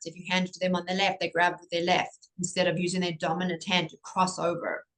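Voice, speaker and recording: A woman speaks with a South African accent at a medium pitch. Her intonation is flat and monotone, and her pace is moderate. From South Africa, Cape Town. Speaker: pediatric occupational therapist. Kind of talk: interview.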